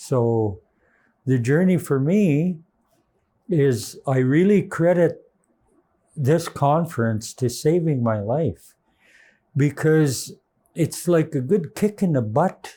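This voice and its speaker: Speaking very slowly with long, frequent pauses, a man with a fairly high pitch and a dark, mellow tone keeps his loudness very even while his intonation stays lively. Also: very clean recording, silent background. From British Columbia, Canada. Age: 70s. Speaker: diabetes patient. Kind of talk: testimony. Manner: halting.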